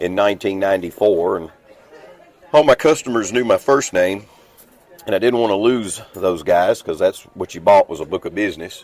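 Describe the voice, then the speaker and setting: With crowd noise behind, the speaker talks at a moderate pace in a strong Southern accent, with ordinary pitch variation. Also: man, fairly low pitch for a man. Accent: thick Southern. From US South, Clarksville, Tennessee. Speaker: restoration business owner. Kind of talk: podcast interview. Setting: on a cruise ship.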